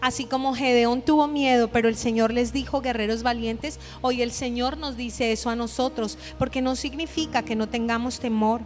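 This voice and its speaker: A woman speaks in a high, animated voice. There is noticeable background noise and audible room echo. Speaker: pastor. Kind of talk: sermon. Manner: fast.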